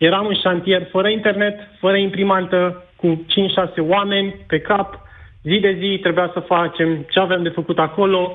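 A high-pitched man's voice at a moderate pace, with monotone, flat intonation. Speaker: caller, engineer. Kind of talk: call-in testimony. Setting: phone call. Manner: halting.

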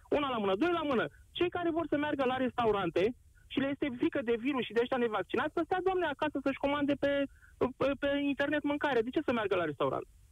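Racing along at a very fast pace, a man talks at an extremely high pitch with lively intonation and very even loudness. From Constanța, Romania; Turkish-Tatar community. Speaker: radio caller, former army signals specialist. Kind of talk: call-in opinion.

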